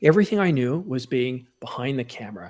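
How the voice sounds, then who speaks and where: Talking at a fairly quick pace, a man with a plain, everyday voice uses lively intonation. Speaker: photographer and YouTuber. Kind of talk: casual chat.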